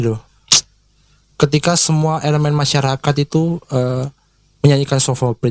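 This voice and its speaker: Recorded with a dry, close sound and no echo, a man speaks at medium pitch with fairly even intonation. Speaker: singer and social media influencer. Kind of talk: casual interview. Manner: hesitant, many fillers.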